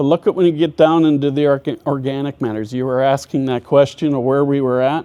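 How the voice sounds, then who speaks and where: A man with an Upper Midwest accent speaks at a fairly quick pace. His tone is dark and mellow. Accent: Upper Midwest American. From US Midwest (northwest Minnesota). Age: 60s. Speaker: farmer and agronomist. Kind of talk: presentation.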